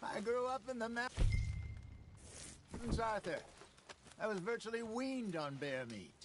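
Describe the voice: A man puts on a character voice with a high pitch and a fairly bright tone. He moves at a fairly slow pace with big pitch swings.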